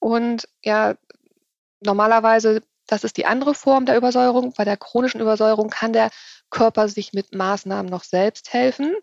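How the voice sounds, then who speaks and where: Her voice is fairly high for a woman and is an ordinary speaking voice. She keeps a moderate pace with fairly even intonation. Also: dry, close sound with no echo. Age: 40s. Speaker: nutrition consultant and author. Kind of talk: interview.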